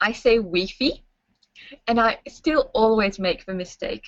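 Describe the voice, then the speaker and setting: With a French accent, a woman speaks at a fairly slow pace. Her pitch is fairly high and her intonation lively. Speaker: English language school staff. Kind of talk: webinar presentation. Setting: online webinar.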